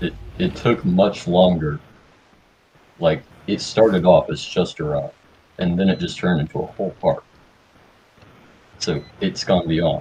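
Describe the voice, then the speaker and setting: Speaking at a fairly slow pace with long, frequent pauses, a man talks with an Oklahoma accent. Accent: deep Oklahoma. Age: young. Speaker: guest, game server builder. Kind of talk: casual podcast chat.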